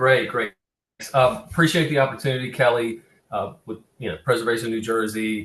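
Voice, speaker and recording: A man talks at a moderate pace with an ordinary amount of pitch variation. He speaks with a Southern US accent. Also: medium pitch for a man. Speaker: cultural resource consultant presenting on cemetery preservation. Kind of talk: webinar presentation. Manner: halting, many fillers and restarts.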